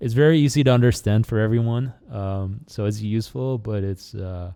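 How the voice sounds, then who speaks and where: A man speaks in a fairly low pitch with a dark, mellow tone. The recording is very clean, with a silent background. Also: ordinary pitch variation, moderate pace. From Netherlands. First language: Dutch. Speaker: small YouTuber. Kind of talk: casual chat. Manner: halting.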